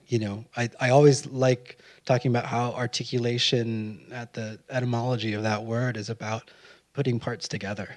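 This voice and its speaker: A man speaks at a medium pitch with an American accent. His intonation is monotone and flat. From Arizona, Phoenix. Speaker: poet. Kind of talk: onstage conversation. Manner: slow; halting.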